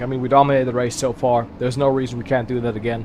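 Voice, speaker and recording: An animated man's voice with a German accent. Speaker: sim racing streamer. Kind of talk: live gaming commentary. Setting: live stream. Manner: casual, animated.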